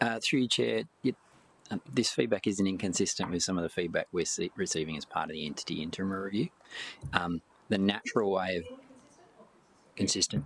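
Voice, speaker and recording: A man's fairly quick speech in an Australian accent, with vocal fry and long, frequent pauses. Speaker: council officer. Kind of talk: committee meeting discussion.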